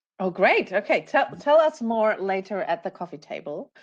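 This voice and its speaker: A woman speaks at a moderate pace in a German accent with lively intonation. The background is quiet. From Germany. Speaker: panel moderator. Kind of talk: panel discussion.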